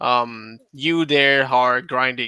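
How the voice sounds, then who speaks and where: Recorded dry and close with no echo and very clean over a silent background, a man with a non-native accent speaks at medium pitch in a bright, sharp tone. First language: not English. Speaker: gamer guest on podcast. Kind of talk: casual chat. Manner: halting, many fillers.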